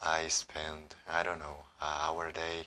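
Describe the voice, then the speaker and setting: A man with an Ecuadorian accent speaks at a fairly slow pace in a very deep, low voice with a bright, sharp tone. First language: Spanish. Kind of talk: casual talk to camera.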